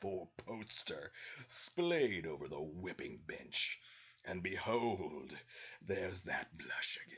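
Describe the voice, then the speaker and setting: Using a put-on character voice, a man speaks fairly slowly at a very deep, low pitch. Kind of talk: comic dramatic reading. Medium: read story. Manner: smug, self-satisfied.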